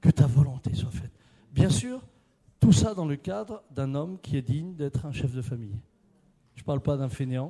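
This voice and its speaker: The speech has a dark, mellow tone, somewhat breathy, at a moderate pace with lively intonation, big swings in loudness and long, frequent pauses. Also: man, fairly high pitch for a man. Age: 60s. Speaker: preacher. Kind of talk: sermon.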